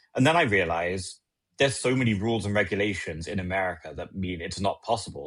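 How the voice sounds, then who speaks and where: A man with a very deep, low pitch at a very fast pace, against a quiet background. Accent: British. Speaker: legislative attorney. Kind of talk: podcast interview.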